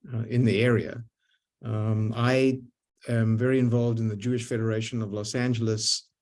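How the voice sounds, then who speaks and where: This man speaks at medium pitch with a dark, mellow tone and a Zimbabwean accent. His pace is moderate and his intonation monotone and flat. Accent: foreign accent, Zimbabwean. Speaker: lifetime synagogue member, community leader. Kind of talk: panel discussion on video call. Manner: halting, many repetitions and fillers.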